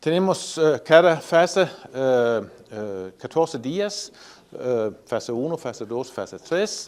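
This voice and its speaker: This man speaks at a very slow pace with a fairly high pitch and very wide swings in pitch. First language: not Spanish (speaking Spanish). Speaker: animal science professor. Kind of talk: technical presentation. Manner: halting, many fillers.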